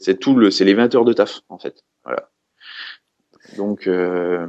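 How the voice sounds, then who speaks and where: Speaking at a very slow pace with long, frequent pauses, a man with a Franche-Comté accent uses a fairly low pitch and ordinary pitch variation. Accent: Franche-Comté regional French. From eastern France, Franche-Comté (Haute-Saône). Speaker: custom snare drum maker. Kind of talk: casual interview chat. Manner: hesitant, many fillers and repetitions; casual, informal.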